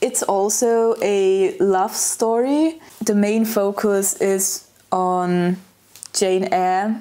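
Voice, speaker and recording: With a German accent, a woman speaks using fairly even intonation. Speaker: lifestyle vlogger. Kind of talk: casual vlog monologue. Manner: hesitant, frequent filler words.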